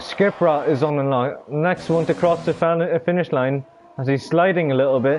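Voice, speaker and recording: Against noticeable background noise, a man talks at a moderate pace with a fairly high pitch. His intonation is fairly even and his loudness very even. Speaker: sim racing league commentator. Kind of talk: live commentary. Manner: halting, stumbling over words.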